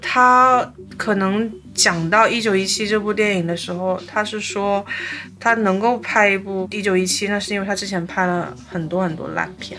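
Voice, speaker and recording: A moderate pace and fairly even intonation, with noticeable background noise and audible room echo. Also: woman, medium pitch for a woman. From China, Fujian (Fuzhou). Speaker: film director and former singer. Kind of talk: casual chat.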